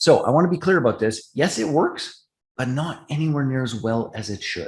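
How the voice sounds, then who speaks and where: A man with a Canadian accent talks at a fairly quick pace in a fairly high, somewhat breathy voice with lively intonation. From Canada. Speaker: partnership marketing expert. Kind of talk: online business training presentation.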